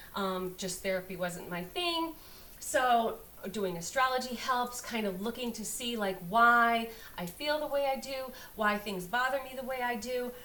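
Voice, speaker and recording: With audible room echo and noticeable background noise, a woman talks at a fairly slow pace in a fairly high pitch with lively intonation. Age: 50s. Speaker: astrologer. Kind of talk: casual astrology talk to camera. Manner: casual, hesitant with many fillers.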